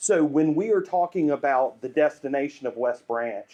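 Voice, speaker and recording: A fairly high-pitched man's voice with a Southern US accent. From US South, Greenville, South Carolina. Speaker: urban planning and branding consultant. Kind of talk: public presentation.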